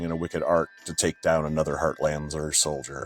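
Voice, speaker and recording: Over music in the background, a man with a very deep, low pitch speaks at a fairly quick pace in a monotone with flat intonation. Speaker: author reading own book. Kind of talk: audiobook fantasy narration.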